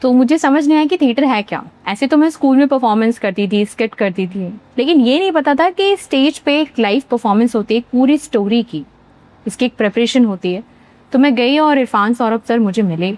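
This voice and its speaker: A high-pitched woman's voice at a moderate pace, lively in intonation. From central India, Bhopal, Madhya Pradesh. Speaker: actor. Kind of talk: interview.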